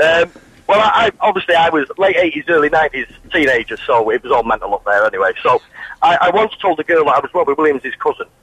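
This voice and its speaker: A man speaks at a very fast pace with very even loudness. Noticeable background noise is present. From Manchester. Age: 30s. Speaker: caller. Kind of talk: phone-in anecdote.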